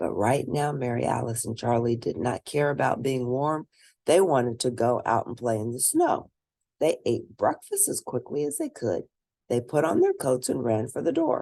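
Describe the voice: A woman speaks with an extremely low pitch and big pitch swings, her dark, mellow tone carrying a slightly husky edge and vocal fry. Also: moderate pace.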